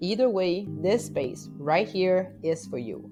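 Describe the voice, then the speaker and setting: This is a woman speaking. Music plays in the background. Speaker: podcast host; spiritual life coach. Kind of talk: podcast intro.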